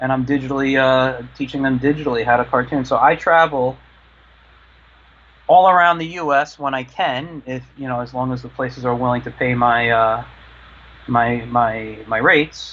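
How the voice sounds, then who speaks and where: A man at a medium pitch, moderate pace and fairly even intonation. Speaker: cartoonist and drawing teacher. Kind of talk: live drawing tutorial. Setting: live online stream. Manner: halting, many fillers; quiet while drawing.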